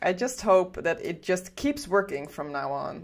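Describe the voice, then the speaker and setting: Speaking very slowly, a woman talks with a slight Dutch accent. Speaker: game studio livestream host. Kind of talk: casual livestream chat. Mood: cheerful, chatty. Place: home room. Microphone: headset.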